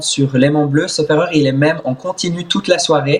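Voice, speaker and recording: A man's fairly high-pitched, somewhat breathy voice with fairly even intonation. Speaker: swimmer and content creator. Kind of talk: interview.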